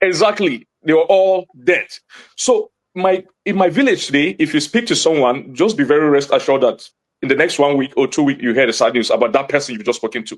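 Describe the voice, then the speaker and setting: A man speaks with a Nigerian accent. His tone is animated and his intonation lively. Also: fairly high pitch for a man, fairly quick pace. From Nigeria, Jos (Plateau State). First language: Hausa. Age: young. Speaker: community witness / activist. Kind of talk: TV interview. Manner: animated, emphatic.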